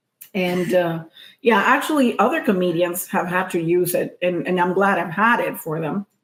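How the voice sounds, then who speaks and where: This woman talks at a moderate pace in a medium pitch, with ordinary pitch variation. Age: middle-aged. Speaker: comedian and podcast co-host. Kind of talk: casual chat. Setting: happy hour at a co-host's home. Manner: soft, not projecting.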